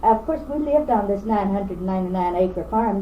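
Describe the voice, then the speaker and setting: There is audible room echo in this clip. A woman speaks with a Kentucky accent. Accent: Kentucky Southern US. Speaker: oral history interviewee. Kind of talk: oral history reminiscence. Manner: halting, with frequent fillers.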